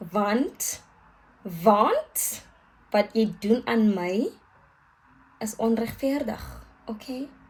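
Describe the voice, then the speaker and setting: Against noticeable background noise, a woman with a fairly high pitch speaks very slowly, pausing long and often. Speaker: vlogger. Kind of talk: casual vlog chat. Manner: animated.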